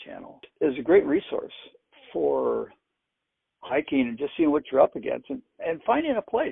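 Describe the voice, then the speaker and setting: At a moderate pace, a man speaks. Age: 60s. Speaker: cancer patient and hiker. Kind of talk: casual interview chat.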